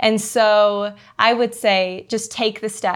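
A woman has a plain, everyday voice, pitched fairly high, with ordinary pitch variation. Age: 20s. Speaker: missionary. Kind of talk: testimony.

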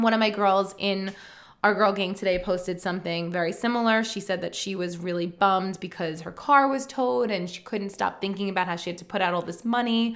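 With an animated tone, a woman talks at a fairly quick pace with ordinary pitch variation. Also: medium pitch for a woman. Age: 40s. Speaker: podcast host and life coach. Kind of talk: casual solo podcast talk.

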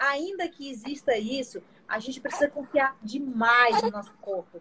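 A woman with a high pitch talks at a moderate pace, her pitch swinging very widely. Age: 30s. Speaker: vascular surgeon and mother. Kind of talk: casual chat. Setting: live video stream.

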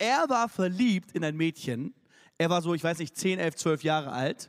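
In a very clean recording with a silent background and a dry, close sound with no echo, a man with a high pitch talks in an animated tone with lively intonation. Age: 30s. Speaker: youth preacher. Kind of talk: sermon. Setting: church stage with audience.

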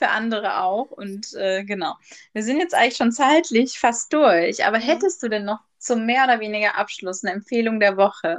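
In an unremarkable speaking voice, a woman talks at a moderate pace. Her pitch is fairly high and her intonation lively. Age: 20s. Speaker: podcast host. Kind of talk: casual chat. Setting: remote call.

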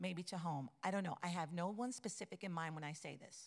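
A woman's medium-pitched voice with ordinary pitch variation, on a very clean recording with a silent background. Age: 50s. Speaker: church teacher. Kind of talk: sermon. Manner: halting.

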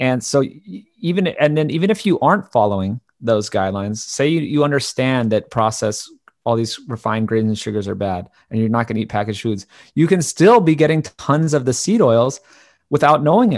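At a fairly quick pace, a man speaks at medium pitch with lively intonation over a quiet background. His is an unremarkable speaking voice. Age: 30s. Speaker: documentary filmmaker and podcaster. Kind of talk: interview.

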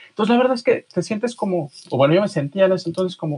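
A man's very fast speech with lively intonation, in a dry, close sound with no echo. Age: 40s. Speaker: author. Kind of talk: interview. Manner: halting.

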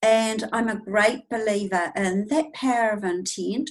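A woman with a New Zealand accent, fairly high in pitch, at a fairly slow pace with ordinary pitch variation. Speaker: intuitive healer and teacher. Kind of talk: casual interview, personal testimony.

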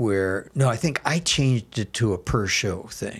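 A man with an American accent at a fairly slow pace, noticeable background noise behind him. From Milwaukee, Wisconsin, US Midwest. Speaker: comedy theater founder. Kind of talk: casual interview.

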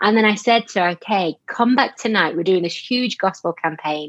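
In a strong Yorkshire accent, a woman speaks at medium pitch and a moderate pace with lively intonation, the sound dry and close with no echo over a quiet background. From Yorkshire, northern England. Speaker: charity worker, missions and anti-trafficking. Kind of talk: interview conversation, faith testimony.

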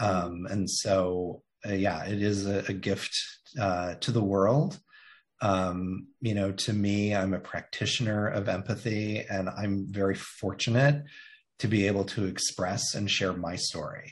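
On a very clean recording with a silent background, a man with an American accent and a fairly low pitch speaks in a plain, everyday voice at a fairly slow pace with fairly even intonation. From Indiana, US Midwest. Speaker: marketing agency CEO and author. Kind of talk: interview.

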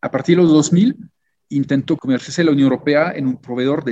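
A man with a French accent talks at a medium pitch. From France. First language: French (speaking Spanish). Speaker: diplomat. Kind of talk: interview.

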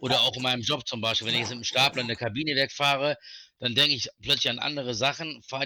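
A man at very fast pace, medium pitch, bright, sharp tone and fairly even intonation. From North Rhine-Westphalia, near Wuppertal. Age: 40s. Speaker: guest with Tourette syndrome, forklift worker. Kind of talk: casual chat.

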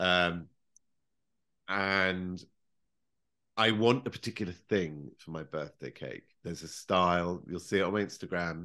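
In a quiet setting, a man with a very deep, low voice and a bright, sharp tone talks at a fairly slow pace, with long, frequent pauses. His pitch varies in an ordinary way, but his loudness swings widely. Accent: British. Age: 40s. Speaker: professional baker. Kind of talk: casual chat.

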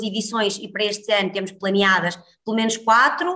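A woman speaks at medium pitch with a bright, sharp tone. Her intonation is monotone and flat. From northern Portugal, Guimarães. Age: 30s. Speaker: healthy-eating entrepreneur and cooking instructor. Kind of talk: casual interview chat.

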